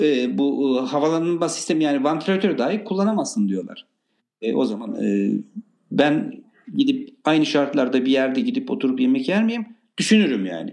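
At a moderate pace, a man with a fairly high pitch makes very wide pitch swings, with audible room echo. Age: 60s. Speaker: restaurant owner. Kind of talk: casual chat.

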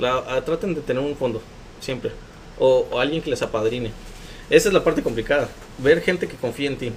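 A man with a Mexican accent, somewhat breathy, at a fairly quick pace with ordinary pitch variation and long, frequent pauses. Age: 20s. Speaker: recycling entrepreneur. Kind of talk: interview.

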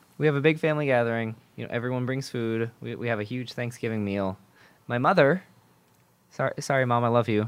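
Fairly quick in pace, this man uses a normal speaking voice. He talks at a medium pitch that varies in an ordinary way. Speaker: student podcast host. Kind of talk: casual chat. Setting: studio.

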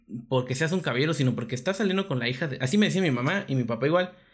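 Lively in intonation, a man with a Mexican accent is heard in a very clean recording over a silent background. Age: 20s. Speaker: podcast co-host. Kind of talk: casual chat.

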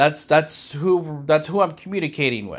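A man with an American accent, fairly high-pitched, at a moderate pace with ordinary pitch variation, on a very clean recording with a silent background. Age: 40s. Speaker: faith podcast host. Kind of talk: personal solo monologue. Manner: halting.

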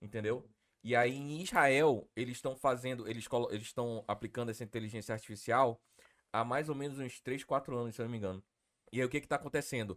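A man with a normal speaking voice talks fairly quickly at a medium pitch with fairly even intonation. The recording is very clean, with a silent background. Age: 30s. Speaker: podcast host. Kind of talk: casual chat.

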